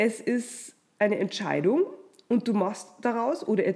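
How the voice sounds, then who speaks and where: A woman's fairly high, warm voice with vocal fry at a fairly slow pace. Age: 30s. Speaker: podcast host and publisher. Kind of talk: motivational monologue.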